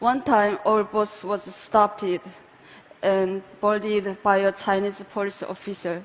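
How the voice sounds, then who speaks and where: In a Korean accent, a woman with a medium-pitched voice speaks fairly slowly in a monotone, flat intonation. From North Korea. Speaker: North Korean defector speaker. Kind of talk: personal testimony talk.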